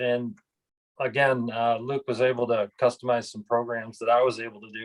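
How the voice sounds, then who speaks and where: At a moderate pace, a man speaks in a normal speaking voice at a medium pitch, with a dry, close sound and no echo. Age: 60s. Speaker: retired golf club pro. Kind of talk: testimonial interview.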